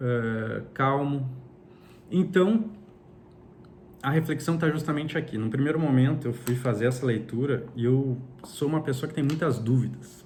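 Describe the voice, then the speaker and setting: A man with a Brazilian accent and a fairly high pitch talks at a fairly slow pace, with long, frequent pauses. His ordinary pitch variation comes through alongside audible room echo. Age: 30s. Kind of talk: personal religious reflection monologue. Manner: halting, with frequent repetitions.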